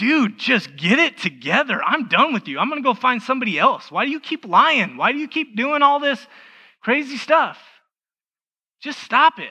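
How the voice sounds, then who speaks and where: Shouting in a put-on character voice at an extremely high pitch, a man speaks at a moderate pace over a quiet background. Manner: yelling, exasperated.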